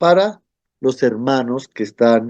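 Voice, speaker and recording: A man speaks at a fairly slow pace in a dark, mellow tone, with ordinary pitch variation. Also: quiet background. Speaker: Bible course teacher. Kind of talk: online class lecture.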